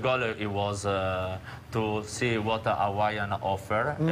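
With an Italian accent, a man speaks at a fairly low pitch over light background noise. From Genoa area, Italy. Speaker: restaurant chef on a cooking segment. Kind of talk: interview answer. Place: kitchen. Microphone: lapel.

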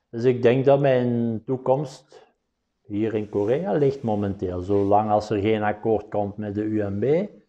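A man's dark, mellow voice at a fairly low pitch, in a Belgian Limburg accent, at a very slow pace. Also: ordinary pitch variation. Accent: Flemish (Limburg) Dutch. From Belgium, Flanders (Limburg). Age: 50s. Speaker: professional billiards player. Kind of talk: interview monologue. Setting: studio. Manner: halting, many filler sounds.

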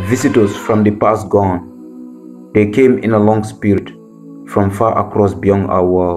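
A man with a West African accent speaks at a fairly slow pace in a very deep, low voice, his intonation lively, with music playing in the background. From Gambia. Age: 20s. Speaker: spoken word poet. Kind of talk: poetry reading.

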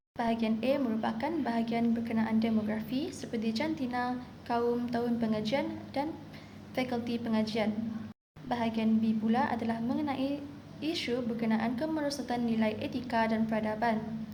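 A woman talks at a moderate pace in a plain, everyday voice. Her intonation is fairly even and her loudness very even. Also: fairly high pitch for a woman. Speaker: university student. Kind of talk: class presentation.

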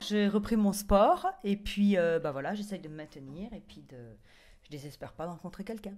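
A woman talks at a moderate pace with ordinary pitch variation. Her loudness swings widely. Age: 40s. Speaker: reality TV contestant. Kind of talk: casual chat. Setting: in a bathtub. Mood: relaxed, chatty. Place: bathroom. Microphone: handheld.

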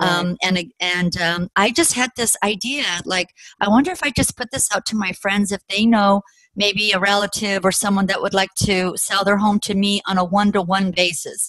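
A woman with an American accent, moderate pace and fairly even intonation, in a dry sound with no echo over a quiet background. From Colorado, USA. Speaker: real estate investor. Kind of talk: personal story interview. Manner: halting, many fillers. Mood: reflective, amused storytelling. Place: home room. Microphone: video call.

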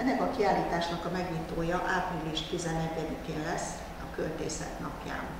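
Strong room echo and noticeable background noise surround a voice moving at a fairly slow pace with fairly even intonation and hardly any pauses. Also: woman, fairly low pitch for a woman. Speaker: university dean. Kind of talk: press conference presentation. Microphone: podium.

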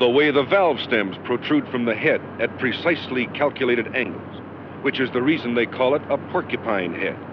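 A man with a confident tone, ordinary pitch variation and a moderate pace, over noticeable background noise. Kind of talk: 1960s promotional film narration, scripted sales pitch. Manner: brisk, punchy, emphatic ad-man salesmanship; formal, confident, authoritative announcer delivery. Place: studio. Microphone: handheld.

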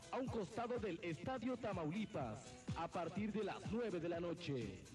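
With clear music in the background, a man speaks in a high pitch at a fairly slow pace with lively intonation. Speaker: radio commercial announcer. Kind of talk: radio commercial for a discotheque. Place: studio. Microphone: old recording.

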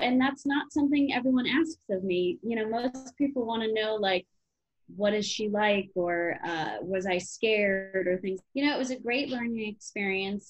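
A woman speaks with lively intonation, her pitch fairly high and somewhat breathy. The background is quiet. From Chicago area, Illinois; Illinois. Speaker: actress and comedian; actress, comedian. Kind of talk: interview. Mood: cheerful, animated. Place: home room. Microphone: webcam.

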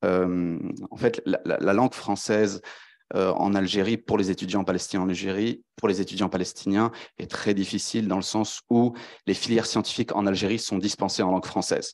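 A man speaks at a moderate pace in a fairly low pitch, with monotone, flat intonation. The background is quiet. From France. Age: 20s. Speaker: PhD researcher; panelist. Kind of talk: academic presentation. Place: hall. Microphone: handheld.

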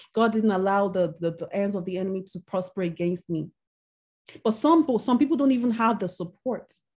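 A woman at a medium pitch, somewhat breathy, with ordinary pitch variation and a fairly quick pace over a quiet background. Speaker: minister and women's mentor. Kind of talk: sermon. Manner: halting.

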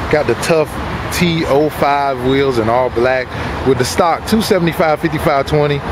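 A man's voice sounds dry and free of echo despite loud background noise. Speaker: presenter. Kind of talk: product walkaround commentary. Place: street. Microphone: phone near.

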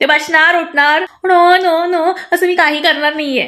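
A woman's raised, projected voice at an extremely high pitch, bright and sharp, with fairly even intonation over a quiet background. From Satara, Maharashtra, India; Maharashtra, India. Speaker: social media content creator. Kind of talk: direct-to-camera comedic rant. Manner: blunt, assertive. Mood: playful, sassy. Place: home room. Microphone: phone near.

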